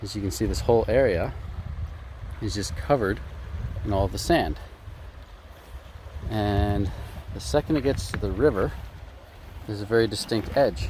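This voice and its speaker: A man mumbles, leaving long, frequent pauses. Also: moderate pace. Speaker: gold prospecting vlogger. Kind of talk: casual vlog narration. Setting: outdoors by a river. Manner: mumbling.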